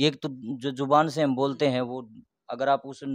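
A man's medium-pitched, monotone, flat delivery at a moderate pace, dry with no echo, over a quiet background. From Haryana. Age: young. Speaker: bhajan singer and lyricist; interviewee. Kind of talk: interview. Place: home room. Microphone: handheld.

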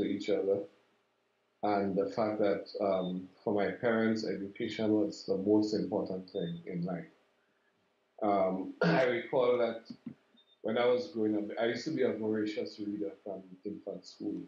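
With a Saint Lucian accent, a man speaks at a fairly low pitch and a moderate pace. His pitch varies in an ordinary way, and room echo is audible. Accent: St. Lucian English. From St. Lucia. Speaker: regional intergovernmental director, education official; interviewee. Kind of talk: interview. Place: office.

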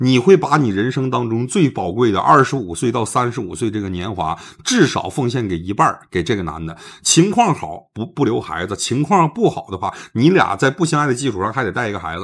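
Moving at a fairly quick pace, a man with a medium pitch makes very wide pitch swings. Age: 40s. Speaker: livestream advice host. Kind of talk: live-stream call-in advice. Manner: blunt, lively.

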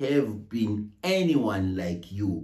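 The man's voice has a somewhat breathy quality. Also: quiet background. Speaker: minister. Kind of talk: sermon. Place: home room. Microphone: phone near.

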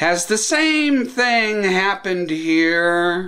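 Very slowly and with lively intonation, a man speaks in a bright, sharp tone over a quiet background. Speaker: political vlogger. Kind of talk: political commentary vlog. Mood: sarcastic, indignant. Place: home room. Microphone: webcam.

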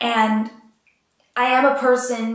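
Audible room echo surrounds a woman's voice, with a quiet background. Her intonation is monotone and flat. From Puerto Rican background. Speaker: auditioning singer and actress; actress. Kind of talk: audition video monologue. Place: home room.

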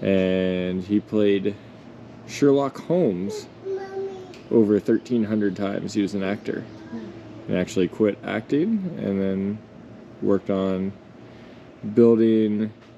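Crowd noise fills the background as a man speaks at a very slow pace in a fairly low voice. He takes long, frequent pauses. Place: open country. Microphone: phone near.

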